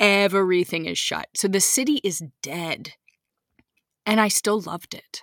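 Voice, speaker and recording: A woman at a medium pitch speaks at a fairly slow pace with long, frequent pauses and big swings in loudness. The sound is dry and close, with no echo. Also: ordinary pitch variation. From United States, several regions. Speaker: teacher and podcaster. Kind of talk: interview.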